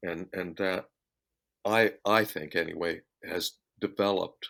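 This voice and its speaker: Very slowly and in a monotone, flat intonation, a man speaks with a very deep, low pitch. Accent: American. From US Southwest (Phoenix). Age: 60s. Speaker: session guitarist and recording artist. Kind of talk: interview. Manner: halting, many fillers and repeats.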